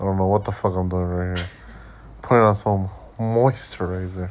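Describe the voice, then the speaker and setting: This man's voice is very deep and low in pitch. His intonation is fairly even, and he talks at a moderate pace. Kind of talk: casual voiceover commentary. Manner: joking, profane.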